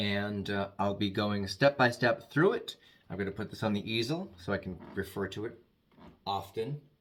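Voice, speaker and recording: On a very clean recording with a silent background, a man with an American accent talks at a moderate pace, his fairly low pitch showing ordinary variation. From Massachusetts, Worcester. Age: 60s. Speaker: makeup artist. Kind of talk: tutorial. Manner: hesitant, with fillers.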